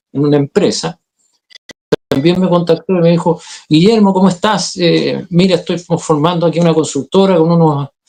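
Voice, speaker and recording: In a Chilean accent, a dark, mellow voice moves at a moderate pace with fairly even intonation. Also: man. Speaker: actor, director and communication coach. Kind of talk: interview.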